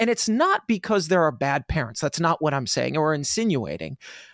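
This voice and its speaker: A man speaks at a moderate pace in an ordinary speaking voice, fairly high-pitched, with lively intonation. The recording is very clean with a silent background and a dry, close sound with no echo. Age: 30s. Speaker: podcast host. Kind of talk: casual interview chat.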